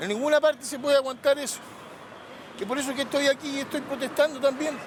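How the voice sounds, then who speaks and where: A man at an extremely high pitch, very fast pace and fairly even intonation, with big swings in loudness and noticeable background noise. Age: 60s. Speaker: protester. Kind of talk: testimony.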